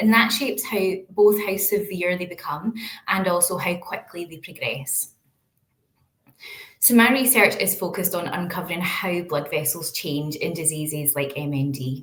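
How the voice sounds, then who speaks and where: With a Glaswegian accent, a woman with a fairly low pitch talks at a moderate pace with lively intonation, and audible room echo surrounds her voice. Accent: Glaswegian Scottish. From Scotland, Glasgow. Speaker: researcher. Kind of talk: lecture.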